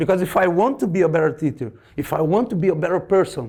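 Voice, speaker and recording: A man speaks with a Portuguese accent at a high pitch. The recording is very clean, with a silent background. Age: 50s. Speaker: martial arts teacher. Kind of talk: lecture. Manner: halting, repeats words.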